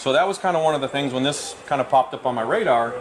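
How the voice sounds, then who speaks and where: Noticeable background noise runs under this clip. A man talks very fast at a medium pitch. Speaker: scale model builder and author. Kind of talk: live demonstration. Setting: event with live audience.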